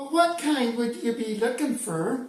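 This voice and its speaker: A man's put-on character voice, extremely high in pitch with ordinary pitch variation, at a fairly slow pace with slight echo. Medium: solo performance. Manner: curt, condescending.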